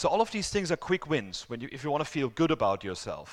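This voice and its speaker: On a very clean recording with a silent background, a man speaks at a fairly quick pace with lively intonation. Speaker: conference speaker. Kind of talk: conference talk. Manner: fast.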